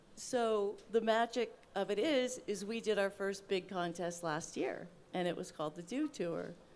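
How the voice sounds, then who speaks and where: A woman talks at a moderate pace in a medium pitch with ordinary pitch variation. She has a plain, everyday voice. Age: 60s. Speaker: wheelchair athlete. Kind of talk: panel discussion.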